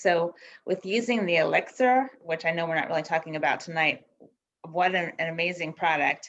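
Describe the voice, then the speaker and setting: A woman speaks in an unremarkable speaking voice, fairly low-pitched for a woman, at a moderate pace with ordinary pitch variation. The background is quiet. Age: 60s. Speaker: beauty product distributor. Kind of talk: casual testimony.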